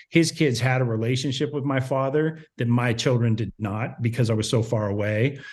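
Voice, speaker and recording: With an American accent, the voice is somewhat breathy and keeps a moderate pace with hardly any pauses and ordinary pitch variation. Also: man, medium pitch for a man. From small town in Ohio. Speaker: podcaster. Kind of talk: casual chat.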